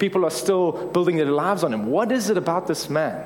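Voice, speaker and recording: Amid noticeable background noise, a high-pitched man talks at a very fast pace. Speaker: preacher. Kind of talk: conversational, humorous sermon. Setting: church sermon. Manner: fast talker; fast talker, self-described motormouth.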